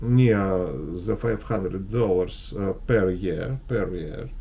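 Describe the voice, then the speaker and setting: A man with a Russian accent speaks at a very slow pace. Noticeable background noise and audible room echo fill the recording. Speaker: investment advisor. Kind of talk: market analysis video. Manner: halting, many fillers.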